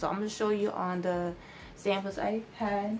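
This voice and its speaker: A woman's medium-pitched voice with fairly even intonation at a fairly slow pace. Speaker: beauty vlogger. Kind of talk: casual tutorial vlog. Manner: halting, many fillers.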